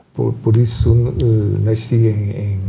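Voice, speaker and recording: A man's voice with audible room echo. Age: 70s. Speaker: journalist, moderator. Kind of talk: panel conversation. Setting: town hall.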